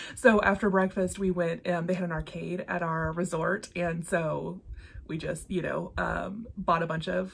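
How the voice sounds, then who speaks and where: Flat and monotone, the voice moves at a moderate pace with vocal fry. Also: woman. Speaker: cross-stitch vlogger. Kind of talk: casual vlog chat. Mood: cheerful, laughing often. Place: home room.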